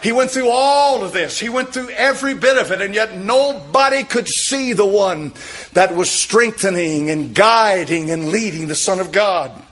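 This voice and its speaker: Speaking at a moderate pace, a man uses a high pitch, lively intonation, and an animated tone. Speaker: preacher. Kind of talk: sermon. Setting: church. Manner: emphatic, repetitive, pounding home points with direct appeals; animated, fervent pulpit delivery with frequent amens. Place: church. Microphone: podium.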